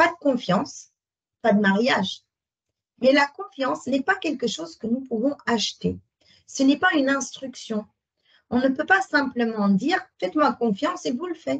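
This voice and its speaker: With a Dutch accent, a woman talks at a fairly slow pace in a high voice, her intonation lively, her loudness swinging widely, and her speech broken by long, frequent pauses. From Netherlands. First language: Dutch (speaking French). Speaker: sales consultant. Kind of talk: webinar presentation. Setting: online webinar.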